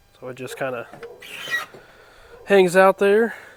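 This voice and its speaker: Over noticeable background noise, a man speaks very slowly in a high voice with very wide pitch swings. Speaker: DIY car repair youtuber. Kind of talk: tutorial. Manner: casual.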